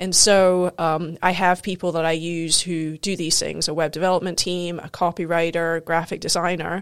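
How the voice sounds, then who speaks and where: Over a silent background in a very clean recording, a woman speaks at a moderate pace in a monotone, flat intonation with hardly any pauses. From Scotland and US, Scottish-American upbringing. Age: 40s. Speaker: digital marketing entrepreneur and triathlete. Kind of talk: casual chat. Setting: studio.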